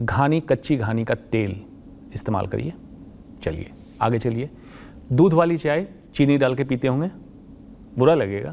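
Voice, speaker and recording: Here a man speaks at a medium pitch with lively intonation, very slowly and with long, frequent pauses. Light background noise can be heard. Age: 50s. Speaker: oncologist; guest. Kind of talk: interview. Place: studio. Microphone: lapel.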